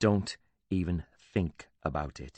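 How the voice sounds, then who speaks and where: In a put-on character voice, a man hisses at a very deep, low pitch. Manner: hissed, each word slow and clipped; gritted teeth, tense warning.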